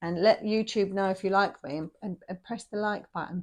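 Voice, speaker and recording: Vocal fry runs through a woman's medium-pitched voice. Her pace is fairly quick. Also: quiet background. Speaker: tarot reader. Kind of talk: tarot reading monologue. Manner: casual, chatty.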